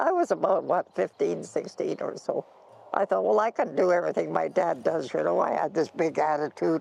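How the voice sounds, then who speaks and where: This woman speaks with a Canadian Prairie accent. The sound is dry and close, with no echo. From Canadian Prairies, Alberta. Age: 90s. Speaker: pioneer farm woman interviewee. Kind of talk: storytelling interview.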